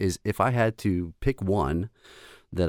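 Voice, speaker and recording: The delivery has ordinary pitch variation and a dry, close sound with no echo. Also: man. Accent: American. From US, Baltimore, Maryland. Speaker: composer and audio engineer. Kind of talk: interview conversation.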